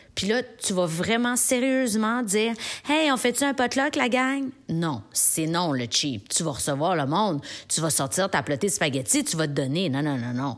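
In a Quebec accent, a woman speaks at a fairly slow pace in an animated tone with very wide pitch swings, on a very clean recording with a silent background. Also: medium pitch for a woman. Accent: Québécois French. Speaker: podcast columnist. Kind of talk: comedic monologue.

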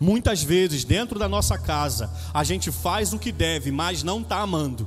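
A man with a Brazilian accent and very wide pitch swings, music in the background. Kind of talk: homily. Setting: church, Mass. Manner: animated, jokey; conversational, direct.

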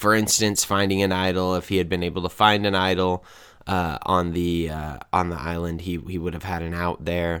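Flat, monotone intonation at a moderate pace. The recording is very clean, with a silent background. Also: man, very deep, low pitch for a man. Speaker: podcast co-host. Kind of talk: casual chat.

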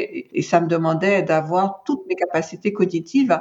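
At a fairly quick pace, a woman speaks in a fairly low voice. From Martinique. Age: 60s. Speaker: cancer patient, patient advocate. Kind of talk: testimony. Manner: halting, frequent repetitions.

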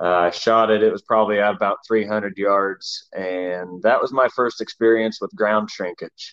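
A man speaks at a moderate pace in a plain, everyday voice, fairly low in pitch. His intonation stays fairly even, with hardly any pauses. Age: 40s. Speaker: stand company co-founder and bow hunter. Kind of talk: casual interview.

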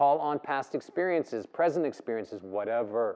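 Lively intonation marks this man's fairly high voice as he talks at a moderate pace. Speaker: yoga teacher leading breathwork. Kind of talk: guided breathwork session, live class instruction. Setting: live in-person yoga studio session with participants. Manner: urgent, commanding, coaching with rhythmic repeated cues; intense, provocative, pushing the group to work up into a frenzy.

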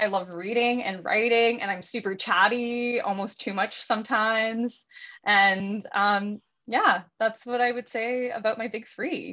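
A Canadian accent with a bright, sharp tone, fairly even intonation and a fairly slow pace, over a quiet background. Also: woman. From Ontario, Canada (Welland). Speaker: astrologer and yoga teacher. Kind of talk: casual interview chat.

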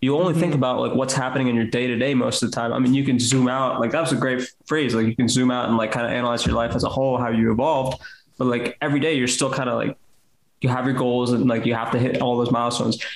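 A man speaks very fast at a medium pitch, with very even loudness. His intonation is flat and monotone. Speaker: podcast co-host, engineer. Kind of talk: casual chat.

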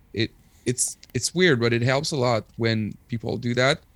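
The man talks at a fairly slow pace, his pitch medium with ordinary variation. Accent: Quebec. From Quebec, Rimouski (eastern Quebec). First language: French. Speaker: punk musician and English teacher. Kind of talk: casual chat. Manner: halting.

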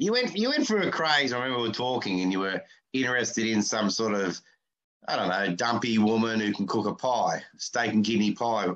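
Speaking at a fairly quick pace with an Australian accent, a man has a medium pitch and ordinary pitch variation. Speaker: podcast host and comedian. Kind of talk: casual chat. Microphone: poor sound, mic covered with tape.

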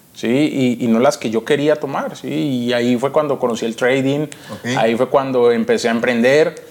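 A man's fairly even intonation is heard through noticeable background noise. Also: medium pitch for a man, moderate pace. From Colombia, Cali. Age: 20s. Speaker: trader and trading educator. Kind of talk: interview.

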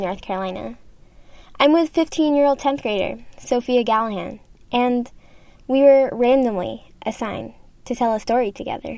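A woman speaks at a high pitch with a dark, mellow tone. Her pace is moderate. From Kuwait. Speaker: student documentary producer. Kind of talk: documentary narration and conversation.

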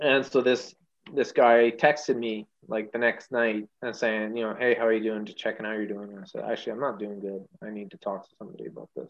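A man with a Canadian accent and a plain, everyday voice, medium pitch, ordinary pitch variation, a fairly quick pace and big swings in loudness. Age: 40s. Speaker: firefighter. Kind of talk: casual chat.

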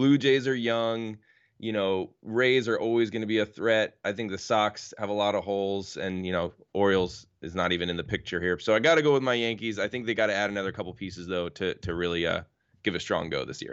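A man with an American accent and an unremarkable speaking voice, fairly low in pitch. He talks at a fairly quick pace with ordinary pitch variation. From New York. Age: 30s. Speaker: guest, sports bettor and baseball fan. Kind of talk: casual sports chat.

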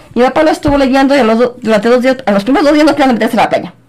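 A woman talks very fast in a high pitch, with noticeable background noise around her. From Guadalajara, Jalisco, Mexico. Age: 50s. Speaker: biology teacher. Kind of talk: interview.

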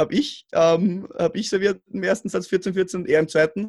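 A man with an Austrian accent speaks at a high pitch and moderate pace. His pitch varies in an ordinary way. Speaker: roundnet player. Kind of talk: casual chat. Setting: remote call. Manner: mumbling.

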